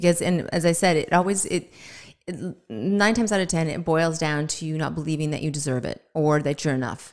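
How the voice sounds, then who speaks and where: On a very clean recording with a silent background, a woman with a very deep, low pitch and ordinary pitch variation speaks at a fairly quick pace. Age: 50s. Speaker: health and wellness coach. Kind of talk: casual interview. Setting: studio.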